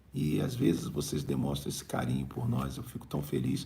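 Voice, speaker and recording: A man's fairly quick speech comes with audible room echo. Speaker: bishop and preacher. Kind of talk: live-streamed prayer meeting and preaching with chat reading. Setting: live stream.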